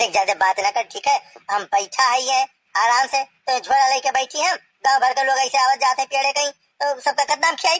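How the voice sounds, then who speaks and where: The speaker uses a cartoonish character voice at a moderate pace. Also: female-sounding voice, high pitch for a woman. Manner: grumbling, rustic.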